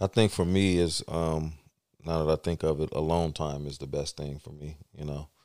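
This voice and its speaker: A man with an American accent speaks at a moderate pace in a very deep, low voice with a dark, mellow tone and fairly even intonation, recorded very cleanly in a dry, close space with no echo and a silent background. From US West Coast, San Francisco Bay Area. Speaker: filmmaker and store owner. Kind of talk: casual interview chat.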